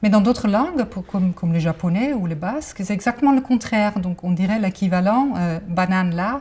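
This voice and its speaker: A woman with a slight Dutch accent and ordinary pitch variation. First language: Dutch (speaking French). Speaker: cognitive science researcher. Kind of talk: interview. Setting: library. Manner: many hesitations (euh).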